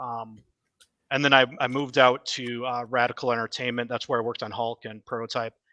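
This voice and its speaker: Bright and sharp in tone, a man with an American accent talks at a fairly quick pace in a medium pitch, recorded dry and close with no echo. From US Midwest, Wisconsin. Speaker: game developer. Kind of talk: casual chat.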